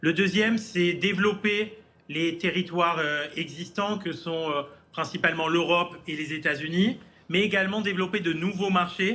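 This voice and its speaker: A man's high-pitched voice, bright and sharp in tone, at a moderate pace with fairly even intonation. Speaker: startup CEO and founder. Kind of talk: business news interview. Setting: remote link from New York. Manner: hesitant, many filler sounds.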